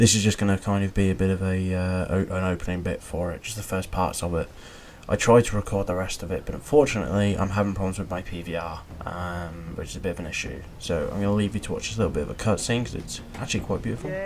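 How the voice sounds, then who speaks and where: With a British accent, a man talks at a very fast pace in a very deep, low voice with ordinary pitch variation. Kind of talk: casual gameplay commentary.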